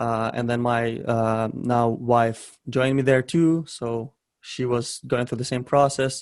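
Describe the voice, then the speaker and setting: Speaking with a Ukrainian accent, a man goes at a very slow pace. His intonation is monotone and flat. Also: medium pitch for a man. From western Ukraine (Ternopil). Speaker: e-commerce entrepreneur. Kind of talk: interview. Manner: hesitant with frequent fillers and repetitions.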